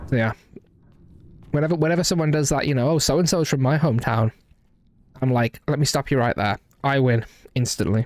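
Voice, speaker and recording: With a slight Midlands accent, a man of fairly high pitch speaks at very even loudness with ordinary pitch variation and long, frequent pauses, in a dry, close sound with no echo. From English West Midlands, Walsall area. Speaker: video game streamer. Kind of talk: casual live-stream chat while gaming. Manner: halting, many false starts and fillers.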